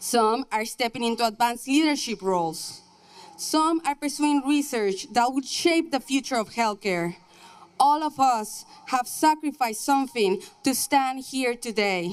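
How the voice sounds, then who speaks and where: With a Mexican accent, a woman speaks at a fairly slow pace in a high pitch with lively intonation. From Mexico. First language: Spanish. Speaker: nursing graduate. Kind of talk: commencement speech. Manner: formal.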